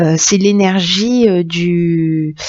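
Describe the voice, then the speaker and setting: The woman's voice sits at a medium pitch. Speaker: tarot reader. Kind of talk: tarot reading. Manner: halting, many fillers.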